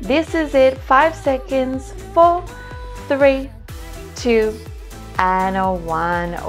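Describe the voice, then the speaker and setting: A woman at a very slow pace, with faint music in the background. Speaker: fitness instructor. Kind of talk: workout instruction cues.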